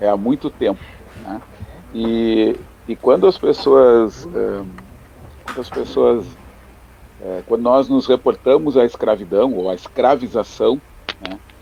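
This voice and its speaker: A man's loudness swings widely as he speaks at a fairly slow pace with long, frequent pauses. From Porto Alegre, southern Brazil. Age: 50s. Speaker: lawyer. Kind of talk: radio debate.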